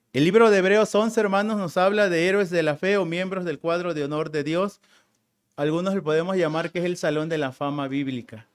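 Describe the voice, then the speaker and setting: In a very clean recording with a silent background, a man with a high pitch speaks at a fairly quick pace with ordinary pitch variation. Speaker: preacher. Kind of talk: sermon.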